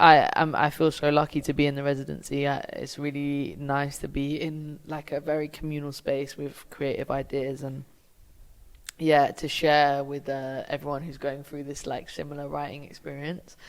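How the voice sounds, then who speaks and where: A woman with a British accent speaks at a moderate pace in a very deep, low voice with monotone, flat intonation. Her loudness swings widely, and the recording is very clean with a silent background. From UK. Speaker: film director. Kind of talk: interview. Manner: casual, filler-heavy.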